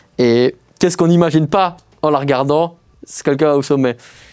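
A man speaks at a moderate pace in a fairly high voice with a dark, mellow tone and fairly even intonation against a quiet background. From Belgium, Liège; Belgium. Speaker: urban explorer. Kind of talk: casual interview. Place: studio.

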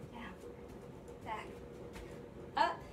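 There is noticeable noise in the background. A woman talks over it. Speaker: fitness instructor. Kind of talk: tutorial. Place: home room. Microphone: camera far.

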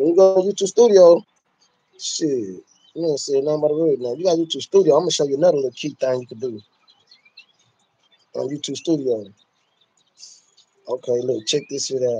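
Dark and mellow with a slightly husky edge, the voice varies in pitch in an ordinary way and leaves long, frequent pauses. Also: man, fairly high pitch for a man, fairly quick pace.

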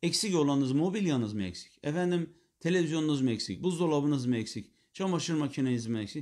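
Over a quiet background, a man with a fairly high pitch talks at a fairly quick pace with lively intonation. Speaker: Islamic preacher teacher. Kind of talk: religious lecture. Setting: live stream. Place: home room.

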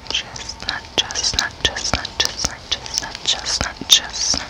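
A soft-spoken woman whispering at a very slow pace. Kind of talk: casual vlog chat. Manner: soft whispered repetition of a word. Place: home room. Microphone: studio mic.

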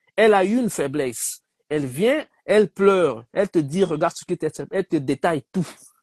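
A man's high voice with a Congolese accent and lively intonation, dry with no echo, over a quiet background. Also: moderate pace. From DR Congo. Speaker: debate participant. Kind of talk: heated debate. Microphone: video call.

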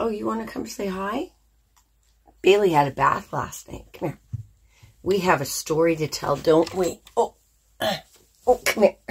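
Her intonation lively, a woman speaks at a fairly slow pace and medium pitch. Her voice is somewhat breathy. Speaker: crochet vlogger. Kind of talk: casual chat.

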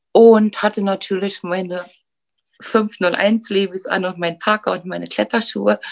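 A woman speaks at medium pitch in a flat monotone. The background is quiet. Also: moderate pace. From Berlin, Germany. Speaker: beautician and salon owner. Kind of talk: oral-history storytelling. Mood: warm, nostalgic, content. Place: home room. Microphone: video call.

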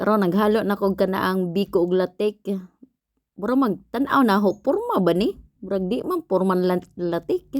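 A woman speaks with a Philippine accent and ordinary pitch variation. The sound is dry and close, with no echo. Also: medium pitch for a woman, moderate pace. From Philippines, Visayas. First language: Cebuano (speaking Tagalog). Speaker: vlogger. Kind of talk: cooking vlog voice-over. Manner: casual, halting.

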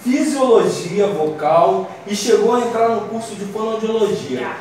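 Over light background noise and strong room echo, a man with a high pitch speaks at a very slow pace. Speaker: radio host. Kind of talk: radio talk show. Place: studio.

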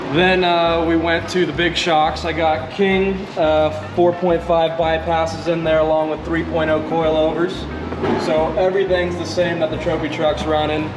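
Background music runs throughout. The man talks fairly slowly. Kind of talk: interview answer. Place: garage. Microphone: camera far.

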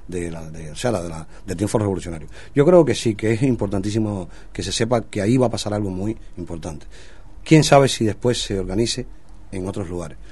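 A man's somewhat breathy voice with a dark, mellow tone, a fairly low pitch and big swings in loudness. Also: ordinary pitch variation, fairly quick pace. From Cuba. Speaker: singer. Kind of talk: radio interview. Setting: studio. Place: studio.

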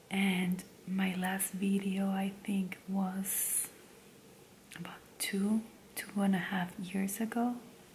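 Someone whispers, soft-spoken, at a very slow pace with long, frequent pauses. Light background noise is present. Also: woman. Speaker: stay-at-home mom and ASMR creator. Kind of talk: casual talk to camera, life update. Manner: soft-spoken, whispering. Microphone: studio mic.

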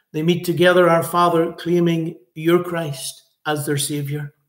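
Against a quiet background with audible room echo, a man speaks at a high pitch and a moderate pace with monotone, flat intonation. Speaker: preacher leading online service. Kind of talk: announcements then prayer. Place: home room. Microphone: webcam.

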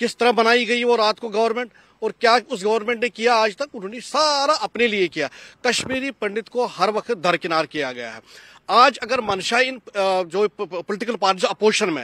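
The speaker uses a raised, projected voice with a bright, sharp tone, ordinary pitch variation and big swings in loudness. The pace is fairly slow, the sound is dry with no echo, and the background is quiet. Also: man, high pitch for a man. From Kashmir. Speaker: Kashmiri Pandit community member; interviewee. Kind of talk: panel discussion. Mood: aggrieved, impassioned. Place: garden. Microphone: handheld.

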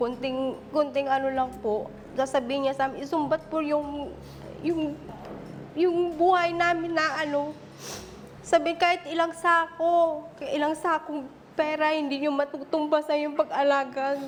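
Against noticeable background noise, a woman speaks in a high voice. Her pace is fairly slow and her intonation fairly even. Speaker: daughter in family dispute. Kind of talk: emotional confrontation on talk show.

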